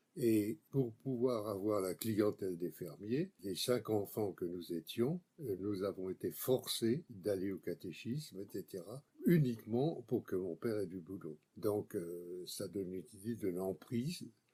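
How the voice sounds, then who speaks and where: Man with a dark, mellow tone and fairly low pitch, ordinary pitch variation, a very slow pace and hardly any pauses. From France, Brie region (rural Île-de-France). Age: 80s+. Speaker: political writer and activist. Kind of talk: interview.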